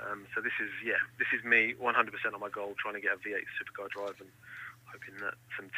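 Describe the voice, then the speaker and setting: The speaker has an English accent and a fairly quick pace. Noticeable background noise runs behind the voice. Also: man, big swings in loudness. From England. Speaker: racing driver. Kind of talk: interview. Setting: phone call.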